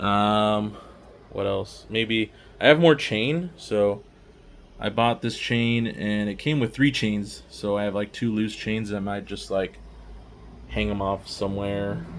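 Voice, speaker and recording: A man speaks quietly at a fairly low pitch and a fairly slow pace, with ordinary pitch variation, in a very clean recording with a silent background. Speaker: miniature painting hobbyist YouTuber. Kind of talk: casual showcase walkthrough. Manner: casual, filler-heavy.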